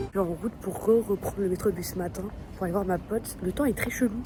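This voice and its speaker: A woman at a medium pitch and a fairly quick pace, her pitch varying in an ordinary way amid noticeable background noise. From Paris, France. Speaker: vlogger. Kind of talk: casual vlog talk. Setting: outdoors in the street. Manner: casual, conversational.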